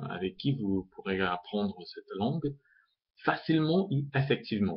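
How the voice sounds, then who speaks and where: A man with lively intonation. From Uzbekistan. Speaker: language tutor. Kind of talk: self-introduction video. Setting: webcam recording. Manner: halting, many hesitations. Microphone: built-in laptop webcam mic.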